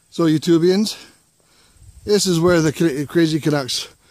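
In a room with audible echo, a man speaks slowly at a fairly high pitch, with a slightly mellow tone and ordinary pitch variation.

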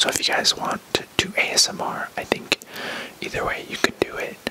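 At a fairly slow pace, a voice whispers. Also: man. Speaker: ASMR artist. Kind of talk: ASMR haul, whispered talk to camera. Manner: whispered. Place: home room. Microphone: camera far.

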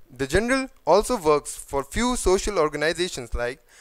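A man speaks at a fairly quick pace with a high pitch. Noticeable background noise runs underneath. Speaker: guest. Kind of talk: formal speaker introduction. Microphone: podium.

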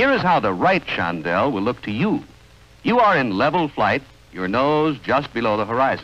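A man with a medium pitch and vocal fry speaks at a moderate pace, his pitch swinging very widely. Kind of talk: vintage training film narration. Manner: formal, measured, authoritative instructional delivery; steady, crisp, even-paced, second-person commands.

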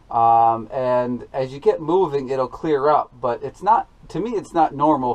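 A man talks fairly slowly, his pitch shifting in an ordinary way. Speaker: farmer vlogger. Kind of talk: casual vlog chat. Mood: mildly frustrated, explaining. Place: farm machine. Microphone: phone near.

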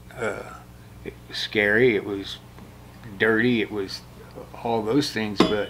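A man speaks at a fairly low pitch in a monotone, flat way amid noticeable background noise. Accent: American. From US Midwest, Indiana. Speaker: war veteran. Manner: rambling and conversational, full of 'you know' and 'uh' fillers; blunt, wry and self-deprecating, with laughs and swearing. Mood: reflective, plainspoken. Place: shop.

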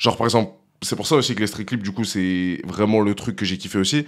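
There is a quiet background as a man speaks at a moderate pace. His pitch is fairly low and varies in an ordinary way. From France, Lyon; France. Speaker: rap music video director; guest. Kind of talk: casual chat. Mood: relaxed, casual slangy French. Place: studio. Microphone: studio mic.

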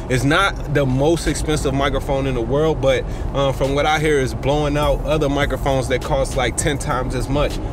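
A man talks at a fairly quick pace with music in the background, the sound dry with no echo. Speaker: music vlogger. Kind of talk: casual vlog chat. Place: car. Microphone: camera far.

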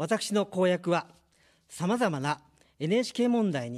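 Speaking at a fairly slow pace with lively intonation, a man talks over a quiet background. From Japan, Kanagawa; Japan. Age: 50s. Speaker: political candidate; candidate. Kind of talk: campaign speech. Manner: formal. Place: studio. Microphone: studio mic.

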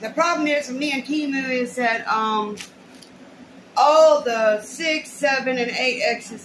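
Against light background noise, a woman talks in a high pitch with ordinary pitch variation. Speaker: haul vlogger. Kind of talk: casual vlog chat. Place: home room. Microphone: webcam.

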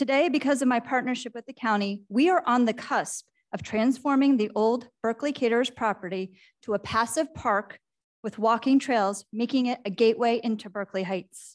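The woman keeps a moderate pace, and her pitch varies in an ordinary way. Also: quiet background. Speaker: candidate. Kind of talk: prepared opening statement. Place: hall.

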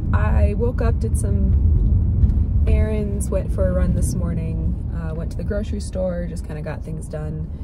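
A woman's fairly slow speech with ordinary pitch variation, music playing in the background. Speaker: vlogger. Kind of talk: casual vlog chat. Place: car. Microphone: phone near.

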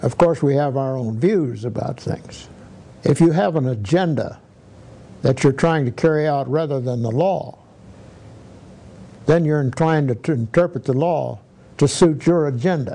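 A man speaks with a fairly high pitch and ordinary pitch variation in a dark, mellow tone. His speech has long, frequent pauses. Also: moderate pace. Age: 80s+. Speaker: federal judge. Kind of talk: interview answer. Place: office.

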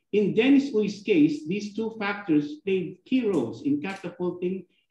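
The room echo is audible as a man talks at a moderate pace. His tone is dark and mellow. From Philippines. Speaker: club president, lawyer; lawyer. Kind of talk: formal meeting remarks. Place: office. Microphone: video call.

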